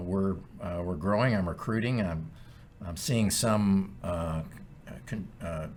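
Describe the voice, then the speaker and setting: A man speaks slowly-ish with an American accent, his fairly low voice carrying lively intonation. Audible room echo surrounds the fairly slow delivery. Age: 60s. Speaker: podcast co-host, title company president. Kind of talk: casual chat.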